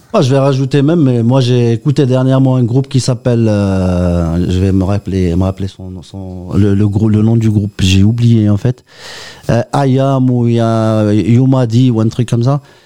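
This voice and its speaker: A man speaks at a medium pitch with a dark, mellow tone. His pace is fairly slow and his pitch variation ordinary. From Oran, Algeria. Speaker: guitarist. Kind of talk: interview.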